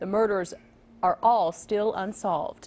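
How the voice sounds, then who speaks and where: A woman speaks at a moderate pace and a medium pitch. She has a plain, everyday voice. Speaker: news anchor. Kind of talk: local TV newsreading, brisk and conversational. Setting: studio. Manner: clear, polished, upbeat.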